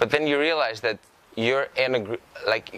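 Amid noticeable background noise, a man in a Greek accent speaks at a moderate pace with fairly even intonation. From Greece, Karditsa. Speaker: incoming university student. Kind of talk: interview. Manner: halting.

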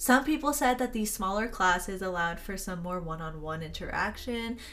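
In an American accent, a woman speaks at a medium pitch, with audible room echo and noticeable background noise around her. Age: 20s. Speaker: podcast host, college student. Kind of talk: casual chat.

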